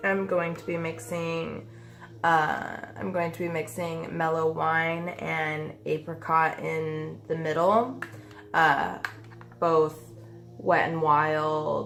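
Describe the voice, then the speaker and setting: Pausing long and often, a woman with a very deep, low pitch speaks very slowly with ordinary pitch variation and big swings in loudness, in a room with audible echo. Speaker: beauty vlogger. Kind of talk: makeup tutorial. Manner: casual, many fillers.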